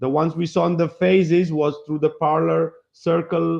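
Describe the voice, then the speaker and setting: Pitched fairly high, a man talks with a non-native accent. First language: not English. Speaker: flat earth presenter. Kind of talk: podcast presentation. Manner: halting.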